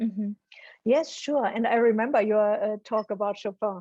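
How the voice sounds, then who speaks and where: A woman's fairly high, dark and mellow voice with a German accent and fairly even intonation, dry and close with no echo. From Germany. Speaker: psychology professor. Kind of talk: interview conversation. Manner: hesitant, frequent ums.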